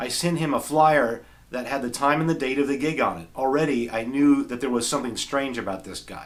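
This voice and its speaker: A man with a plain, everyday voice, medium in pitch, with ordinary pitch variation and a fairly quick pace. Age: 40s. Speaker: guitarist and video creator. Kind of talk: reading aloud from journal; casual talk to camera.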